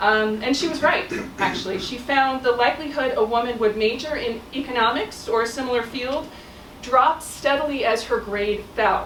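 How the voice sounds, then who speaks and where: A woman's high voice at a moderate pace, with ordinary pitch variation, noticeable background noise and audible room echo. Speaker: professor. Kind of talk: talk. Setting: stage with audience. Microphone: no microphone.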